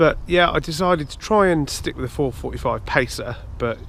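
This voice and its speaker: At a moderate pace, the speaker talks with an English accent. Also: man. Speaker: amateur runner and vlogger. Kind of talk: casual vlog talk to camera. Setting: outdoors at a nature reserve. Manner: hesitant, many fillers.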